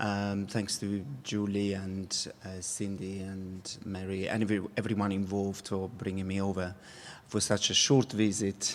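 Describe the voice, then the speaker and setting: A man talks at a fairly slow pace with a non-native accent. His pitch is fairly low. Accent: foreign accent, non-English. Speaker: dance company artistic director. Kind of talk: keynote talk. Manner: halting, many fillers.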